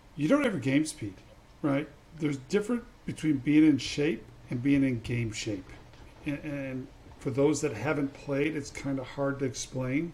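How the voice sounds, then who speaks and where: At a moderate pace, a man with a fairly high pitch speaks in a somewhat breathy voice, his pitch varying in an ordinary way. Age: 50s. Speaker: podcast host, former college basketball player. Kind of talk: casual interview.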